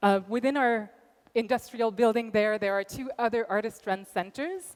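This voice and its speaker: A woman in a Quebec accent, fairly high-pitched, with ordinary pitch variation at a moderate pace. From Quebec, Montreal. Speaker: arts center director. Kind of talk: conference talk.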